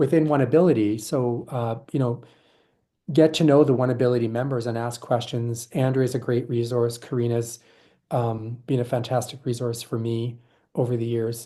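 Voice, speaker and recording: Here is a normal speaking voice at a moderate pace with fairly even intonation. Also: man, medium pitch for a man. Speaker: board member and governance presenter. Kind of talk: presentation. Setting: virtual session.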